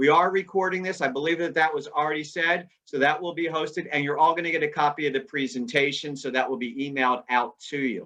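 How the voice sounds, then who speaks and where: With an American accent, a man with a fairly high pitch and a bright, sharp tone talks at a fairly quick pace with ordinary pitch variation. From US Northeast. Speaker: presenter. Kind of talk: webinar presentation. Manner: casual, laid back.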